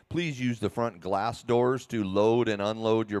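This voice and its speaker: A man talks at a moderate pace with a medium pitch and ordinary pitch variation. The recording is very clean, with a silent background. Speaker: race announcer. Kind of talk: live race announcing. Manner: loud.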